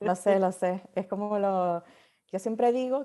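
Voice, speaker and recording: With a Canarian accent, a woman speaks at a medium pitch with ordinary pitch variation. Her tone is dark and mellow. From Canary Islands. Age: 40s. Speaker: novelist and marketing consultant. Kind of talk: podcast interview.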